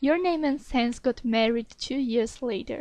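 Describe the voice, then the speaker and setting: With a non-native accent, a woman speaks at a fairly slow pace in a high pitch, her tone dark and mellow and her intonation fairly even. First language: not English. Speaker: ASMR fanfiction reader. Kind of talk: reading aloud; casual chat.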